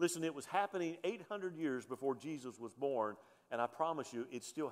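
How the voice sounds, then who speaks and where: Speaking with a Southern US accent, the man lets his pitch swing very widely. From US South, Alabama. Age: 50s. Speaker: pastor. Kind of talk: sermon. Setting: church.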